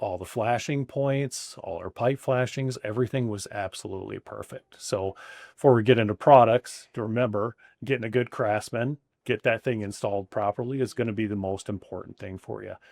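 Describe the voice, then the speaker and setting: An ordinary speaking voice with fairly even intonation has big swings in loudness. The recording is very clean and silent in the background, with a dry, close sound and no echo. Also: man, medium pitch for a man, fairly quick pace. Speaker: roofing company owner. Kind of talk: interview answer.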